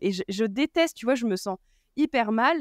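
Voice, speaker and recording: A woman is heard in dry, close sound with no echo. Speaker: podcast host. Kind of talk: casual chat. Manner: loud.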